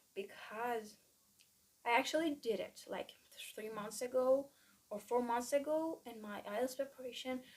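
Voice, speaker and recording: Fairly slow pace with fairly even intonation. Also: woman. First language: Persian. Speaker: student vlogger. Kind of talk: casual vlog monologue. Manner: halting, many fillers.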